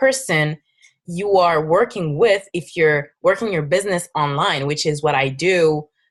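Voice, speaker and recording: An animated woman with a French accent, talking at a fairly slow pace. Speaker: fitness coach. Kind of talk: webinar presentation. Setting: online webinar with screen share. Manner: halting.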